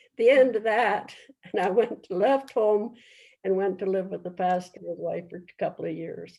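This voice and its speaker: A woman talks at a fairly slow pace with vocal fry. Her tone is dark and mellow. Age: 80s+. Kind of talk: interview answer.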